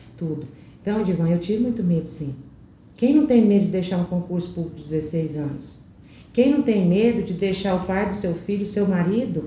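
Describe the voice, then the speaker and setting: A woman with a medium pitch and lively intonation at a moderate pace, with audible room echo. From Brazil, Goiás (Alto Horizonte). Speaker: motivational speaker and cosmetics sales director. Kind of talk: interview.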